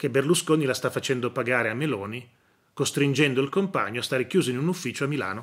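A man speaks at a moderate pace with lively intonation. The background is quiet. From northern Italy, Novara area; northern Italy. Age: 40s. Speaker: news commentator and professor; news commentator, professor. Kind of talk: news commentary monologue. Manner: hesitant, repetitive. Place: home room. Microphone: phone near.

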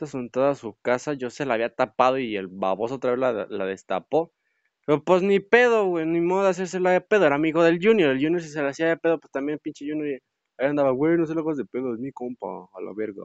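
Talking at a very fast pace, a man uses a fairly high pitch with very wide pitch swings. His loudness swings a lot too. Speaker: gaming youtuber. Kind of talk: gameplay commentary. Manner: animated.

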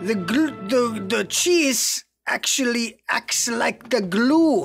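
Very slow speech over faint music in the background. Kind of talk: casual cooking tutorial. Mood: playful, joking. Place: kitchen. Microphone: phone near.

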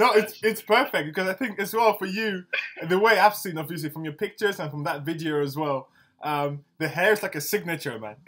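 Lively, fairly quick delivery in a London accent, with big swings in loudness. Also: man, high pitch for a man. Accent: sounds somewhat UK, London-like. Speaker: interviewer, podcast host. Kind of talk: casual interview chat. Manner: casual, friendly, enthusiastic. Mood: cheerful, laughing. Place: home room.

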